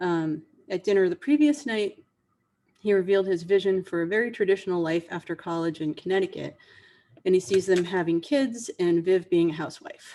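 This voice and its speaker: Someone with an American accent talks at a fairly quick pace in a dark, mellow tone with ordinary pitch variation. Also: woman, medium pitch for a woman. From New Hampshire, US. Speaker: author. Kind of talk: author talk before a reading. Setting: video call. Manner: halting, many fillers.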